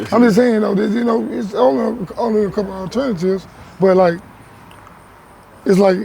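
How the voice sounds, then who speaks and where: Fairly quick speech broken by long, frequent pauses, with noticeable background noise. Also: man, high pitch for a man, ordinary pitch variation. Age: 30s. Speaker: interviewee. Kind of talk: casual chat.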